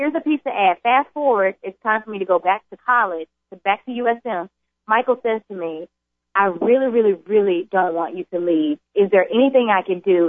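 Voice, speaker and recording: A woman with a Southern US accent talks at a fairly quick pace with ordinary pitch variation. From US South (Jackson, Mississippi). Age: young. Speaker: addiction center corporate trainer. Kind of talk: testimony. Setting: radio studio.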